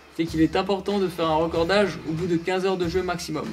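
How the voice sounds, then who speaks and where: High-pitched male speech at a moderate pace, with faint music in the background. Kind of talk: tutorial. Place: studio.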